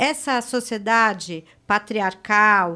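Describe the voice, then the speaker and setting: In a very clean recording with a silent background, a woman speaks with a fairly high pitch and a bright, sharp tone. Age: 60s. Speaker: psychoanalyst. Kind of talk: podcast interview.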